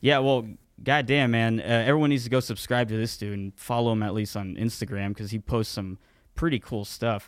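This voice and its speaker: Talking with a plain, everyday voice, a man keeps a medium pitch and a fairly brisk pace, his pitch moving in a normal way, all captured very cleanly against total silence. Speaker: podcast co-host and YouTuber. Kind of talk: casual banter podcast. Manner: casual, rambling, profane.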